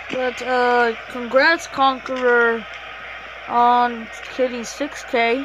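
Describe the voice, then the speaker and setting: Against noticeable background noise, a woman speaks very slowly at a high pitch with monotone, flat intonation. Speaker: gaming YouTuber. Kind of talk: gameplay commentary. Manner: casual, filler-heavy.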